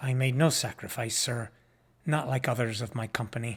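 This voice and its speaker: A man's raspy put-on character voice at a medium pitch, moderate pace and fairly even intonation, on a very clean recording with a silent background. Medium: read story.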